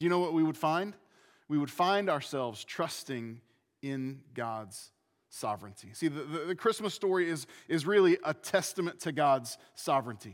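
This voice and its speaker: A man with a plain, everyday voice talks at a moderate pace with lively intonation and a fairly high pitch. The recording is very clean, with a silent background. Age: 40s. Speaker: pastor. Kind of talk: sermon. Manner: repetitive false starts.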